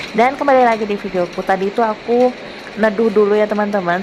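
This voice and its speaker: Noticeable noise fills the background. Over it, a woman speaks fairly quickly. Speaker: housewife vlogger. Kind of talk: voiceover narration for vlog. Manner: casual, chatty.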